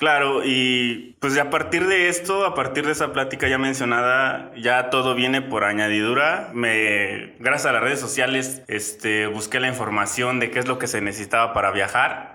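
Over noticeable background noise, a man at medium pitch speaks at a moderate pace with hardly any pauses, ordinary pitch variation and very even loudness. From Mexico, Guanajuato. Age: 30s. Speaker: cycling traveler. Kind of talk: interview storytelling.

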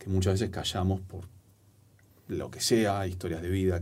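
A man speaks in a very deep, low pitch with a dark, mellow tone and a somewhat breathy quality. His intonation is monotone and flat, and audible room echo surrounds the voice. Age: 40s. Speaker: storytelling and public speaking coach, author. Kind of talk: casual interview conversation. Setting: studio.

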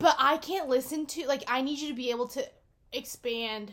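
A woman's raised, projected voice, high in pitch and bright and sharp in tone, moves at a moderate pace with ordinary pitch variation. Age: 19. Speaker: podcast co-host. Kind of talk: casual chat.

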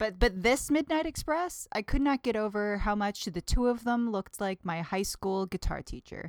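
A woman with a Midwestern American accent speaks at a moderate pace with lively intonation and hardly any pauses. The recording is very clean, with a silent background and a dry, close sound with no echo. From US Midwest, northern Indiana. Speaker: podcast guest, host's girlfriend. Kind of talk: casual chat. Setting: home living room.

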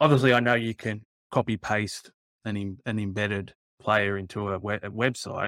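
In an Australian accent, a man speaks at a moderate pace with a fairly low pitch and fairly even intonation, in a very clean, dry, close recording with no echo and a silent background. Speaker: podcast co-host. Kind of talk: casual chat.

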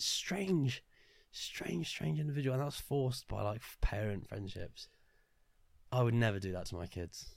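A man's animated tone carries very wide pitch swings. He keeps a moderate pace at a medium pitch. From Luton, England. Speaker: podcast co-host. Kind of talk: casual chat.

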